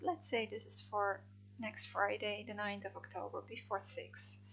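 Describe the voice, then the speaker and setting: A woman speaks at a moderate pace in a Dutch accent. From Netherlands. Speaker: freelance translator. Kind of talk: software tutorial. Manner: hesitant, many fillers.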